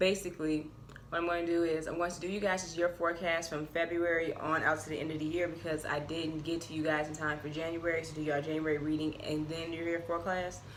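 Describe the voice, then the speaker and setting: Amid audible room echo and noticeable background noise, a woman speaks very fast at a fairly low pitch, monotone with flat intonation and hardly any pauses. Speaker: tarot reader. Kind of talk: tarot reading monologue. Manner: casual, chatty.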